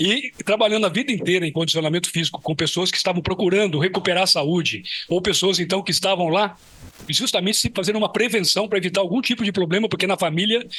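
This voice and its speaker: Very fast, high-pitched male speech with ordinary pitch variation over noticeable background noise. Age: 70s. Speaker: physical education professor. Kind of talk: lecture.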